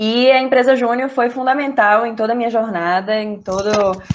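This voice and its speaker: Her pitch varies in an ordinary way as this woman talks at a moderate pace. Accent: Recife. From Brazil, Recife (Northeast). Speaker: junior enterprise trainer, innovation professional. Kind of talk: online training talk.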